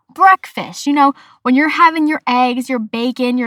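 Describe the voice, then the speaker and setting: An animated voice moves at a fairly quick pace with ordinary pitch variation, recorded dry and close with no echo. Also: woman. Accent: American. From Massachusetts, US. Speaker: podcast host. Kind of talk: casual solo podcast.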